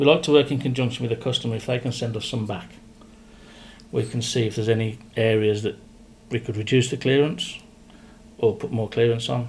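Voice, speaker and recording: With light background noise, a man speaks at a fairly quick pace in a somewhat breathy voice, with fairly even intonation and long, frequent pauses. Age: 50s. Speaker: piston company director and machinist. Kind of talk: technical explanation in workshop. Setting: factory workshop. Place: office.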